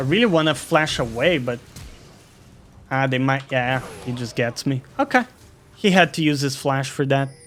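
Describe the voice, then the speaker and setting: Speaking with a non-native accent, a man uses a fairly high pitch and ordinary pitch variation at a moderate pace, with long, frequent pauses. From Brazil. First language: Portuguese. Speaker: gaming YouTuber. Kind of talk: gameplay commentary. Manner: casual.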